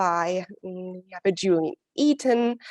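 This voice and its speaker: A woman talks at a very slow pace. The background is quiet, and the sound is dry and close with no echo. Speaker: program coordinator and inclusion advisor. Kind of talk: webinar moderation. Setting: video call. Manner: halting, many fillers.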